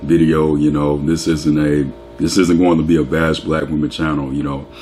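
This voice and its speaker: Over noticeable background noise, a man talks at a moderate pace in a very deep, low pitch. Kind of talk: casual talk to camera, opinionated rant.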